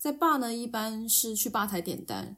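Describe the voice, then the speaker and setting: The voice of a woman comes across as somewhat breathy. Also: very clean recording, silent background. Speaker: podcast co-host. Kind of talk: casual chat.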